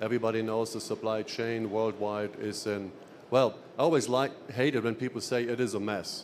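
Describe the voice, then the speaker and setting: A man with a German accent speaks at medium pitch and a moderate pace in a monotone, flat way. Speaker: sales executive. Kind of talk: trade show seminar presentation.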